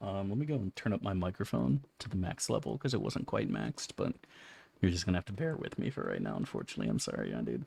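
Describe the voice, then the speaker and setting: A man's fairly low voice with vocal fry, at a very fast pace and with very wide pitch swings. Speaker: video game streamer. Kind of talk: casual gameplay commentary.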